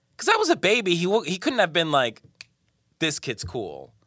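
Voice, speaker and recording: An animated man's bright, sharp tone with vocal fry, very wide pitch swings, and a moderate pace. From Colombia. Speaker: actor and comedian. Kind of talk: casual chat.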